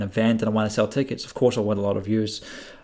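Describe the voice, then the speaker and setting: In a very clean recording with a silent background, a man with a Scottish accent speaks at a medium pitch. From Scotland. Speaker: podcast host. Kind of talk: interview.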